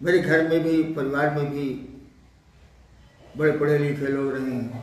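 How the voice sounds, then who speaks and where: Audible room echo surrounds a man who speaks with monotone, flat intonation. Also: fairly high pitch for a man. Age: 70s. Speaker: spiritual teacher. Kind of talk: spiritual Q&A discourse.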